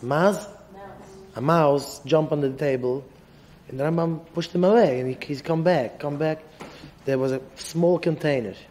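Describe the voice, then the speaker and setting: A man with an ordinary speaking voice, fairly high pitch, ordinary pitch variation and a moderate pace. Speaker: rabbi teaching yeshiva students. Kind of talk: lecture. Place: hall. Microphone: podium.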